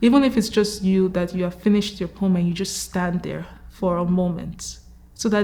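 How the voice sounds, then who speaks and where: A woman with a plain, everyday voice speaks at medium pitch and a moderate pace, her intonation fairly even. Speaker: spoken word poet. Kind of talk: interview answer.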